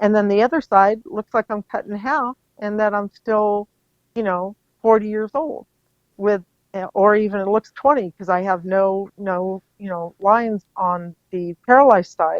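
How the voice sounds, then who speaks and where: A woman's unremarkable speaking voice at medium pitch, with ordinary pitch variation and a fairly slow pace. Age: 60s. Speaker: facial paralysis patient. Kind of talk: interview. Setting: podcast.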